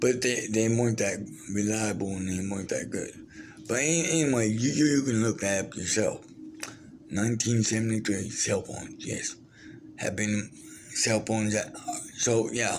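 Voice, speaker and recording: Over noticeable background noise and audible room echo, a man talks at a moderate pace and medium pitch with ordinary pitch variation and long, frequent pauses. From Brazil. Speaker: vlogger, former wrestler and war veteran. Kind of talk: casual storytelling monologue. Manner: halting, many fillers and restarts.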